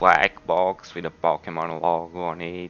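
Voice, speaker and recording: With a non-native accent, a man talks at a very slow pace. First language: not English. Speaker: gadget reviewer. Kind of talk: product review tutorial. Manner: halting.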